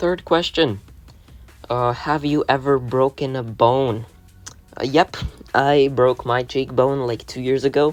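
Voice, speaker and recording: Music plays in the background as the speech moves at a fairly slow pace with long, frequent pauses. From Latvia. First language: Latvian. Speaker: gaming YouTuber. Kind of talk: casual Q&A video. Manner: casual, hesitant with fillers.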